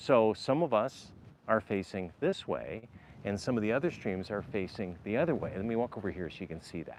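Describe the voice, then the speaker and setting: In a quiet background, a man speaks loudly and fairly quickly, with very wide pitch swings. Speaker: RV vlogger. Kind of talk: live stream vlog.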